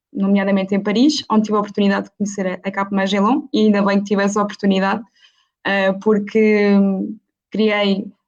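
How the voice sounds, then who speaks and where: A woman speaks at a medium pitch. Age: 20s. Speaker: university student, panelist. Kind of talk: online panel debate. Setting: live video stream. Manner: hesitant, many fillers.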